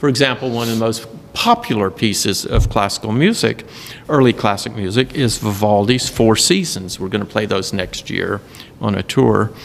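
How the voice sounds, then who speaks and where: A man speaks at a moderate pace and a medium pitch, with a slight Southern US accent. There is noticeable background noise. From US South, Carolinas. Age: 70s. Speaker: symphony orchestra conductor. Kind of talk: casual interview.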